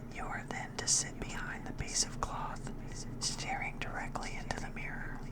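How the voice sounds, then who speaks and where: Whispered words come through noticeable background noise. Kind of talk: ASMR whispered horror story reading.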